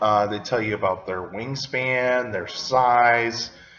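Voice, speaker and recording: Over noticeable background noise, a man speaks at a very slow pace with a medium pitch and fairly even intonation. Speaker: paleontology video host. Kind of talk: Q&A explainer video. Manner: hesitant, many fillers.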